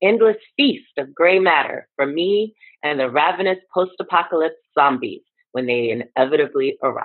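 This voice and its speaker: A woman at a fairly low pitch and moderate pace, with very wide pitch swings over a quiet background. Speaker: poet. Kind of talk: poem performance. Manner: brisk, dark-humored, theatrical. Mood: wry, smiling. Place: home room. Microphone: webcam.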